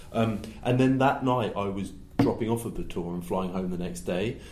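Speaking at a moderate pace, a man has a southern English accent. Room echo can be heard. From southern England (West Sussex). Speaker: gig photographer. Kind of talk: casual chat.

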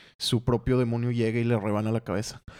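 On a very clean recording with a silent background and a dry, close sound with no echo, a man uses a normal speaking voice at medium pitch and a fairly quick pace. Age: 20s. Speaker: comic colorist and co-host. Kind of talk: casual chat.

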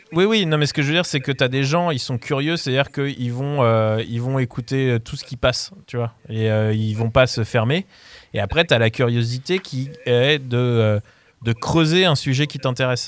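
Medium pitch, a moderate pace and ordinary pitch variation in a man's normal speaking voice. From France, Paris region (Mantes-la-Jolie). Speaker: music programmer. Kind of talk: casual radio debate.

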